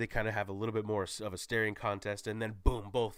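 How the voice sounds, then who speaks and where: A man speaks at a medium pitch with a bright, sharp tone. The recording is very clean, with a silent background. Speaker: YouTuber movie reviewer. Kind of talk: solo movie spoiler recap. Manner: animated; stumbling over words.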